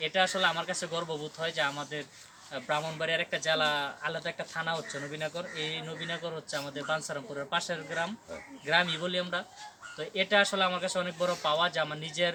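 There is noticeable background noise behind this man's voice. He speaks at a fairly high pitch in a monotone, flat intonation. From Bangladesh, Brahmanbaria. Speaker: social media content creator. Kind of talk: casual interview.

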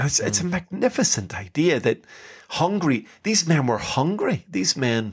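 Speaking with an Irish accent, a man keeps to a fairly slow pace. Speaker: podcast host. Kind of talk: casual chat.

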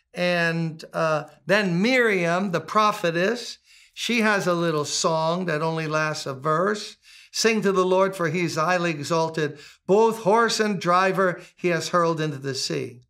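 A man's bright, sharp voice at a fairly slow pace. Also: ordinary pitch variation, quiet background. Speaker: pastor. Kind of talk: scripture reading and sermon teaching. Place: home room.

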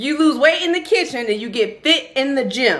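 At a moderate pace, a woman uses a raised, projected voice with a bright, sharp tone against a quiet background. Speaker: vlogger. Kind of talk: casual vlog chat. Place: kitchen. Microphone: phone near.

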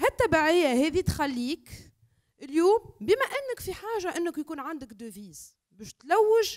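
Speaking at a fairly slow pace with a Tunisian accent, a woman uses an extremely high pitch with very wide pitch swings and big shifts in loudness against a quiet background. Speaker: academic and environmental activist; speaker. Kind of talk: panel discussion. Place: hall. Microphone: handheld.

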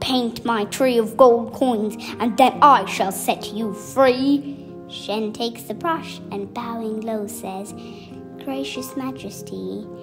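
A woman speaks at a very slow pace, her loudness swinging widely. Music plays in the background. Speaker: storyteller. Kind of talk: children's bedtime story reading.

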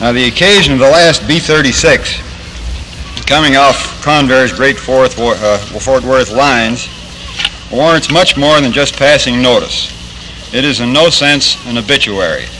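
A man with an American accent speaks at a very slow pace. Faint music plays in the background. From Pennsylvania, US. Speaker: Air Force general, speaker; speaker. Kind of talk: formal ceremonial address. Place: factory.

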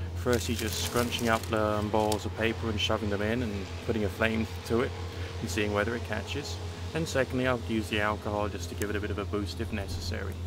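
A man talking at a very fast pace, with music in the background. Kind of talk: casual tutorial commentary. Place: garden. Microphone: phone near.

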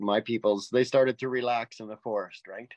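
A man with a Canadian accent speaks at a moderate pace in a plain, everyday voice. The sound is dry with no echo, over a quiet background. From Canada, central Alberta. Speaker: hunter and witness; witness. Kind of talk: interview storytelling. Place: home room. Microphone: video call.

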